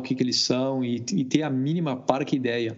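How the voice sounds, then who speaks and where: Moderately paced male speech at a medium pitch, with ordinary pitch variation. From Brazil. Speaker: cybersecurity product manager. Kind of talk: casual chat. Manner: halting.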